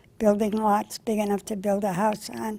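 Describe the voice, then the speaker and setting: In an American accent, a woman talks at a fairly slow pace and a medium pitch. Her tone is dark and mellow. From US Northeast, local town. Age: 90s. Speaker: oral history interviewee. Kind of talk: oral history interview. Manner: halting.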